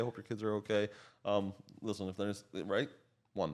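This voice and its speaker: With a slight Slovak accent, a man talks in a fairly low voice. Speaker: coach and realtor. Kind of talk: podcast conversation.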